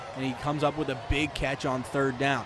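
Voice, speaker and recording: Over noticeable background noise, a man talks at a very fast pace with a fairly high pitch and monotone, flat intonation. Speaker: color analyst for a football broadcast. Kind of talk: live sports broadcast analysis.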